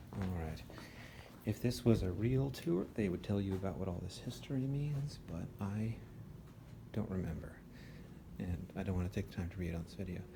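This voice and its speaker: A man with an American accent talks at a moderate pace in a very deep, low, somewhat breathy voice with a dark, mellow tone. Long, frequent pauses break up his speech, and audible room echo surrounds it. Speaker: law student giving an informal tour. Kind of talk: casual walking tour. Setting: indoors, empty law school building. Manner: casual, filler-heavy; whispering.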